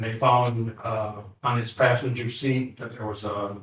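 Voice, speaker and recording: A man speaks at a moderate pace in a medium pitch. His intonation is monotone and flat, with audible room echo. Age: 60s. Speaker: assault victim. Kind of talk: victim statement in court. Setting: courtroom. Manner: halting.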